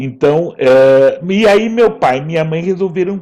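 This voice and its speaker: A man's voice with very wide pitch swings. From São Paulo state, Brazil (Ribeirão Preto). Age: 60s. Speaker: writer and actor. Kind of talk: interview. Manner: halting.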